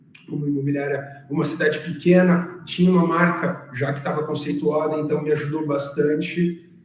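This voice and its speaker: Over noticeable background noise, a man with a fairly high pitch talks in a monotone, flat way with hardly any pauses. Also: moderate pace. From interior of São Paulo state, Brazil. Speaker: real estate agent. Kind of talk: podcast interview.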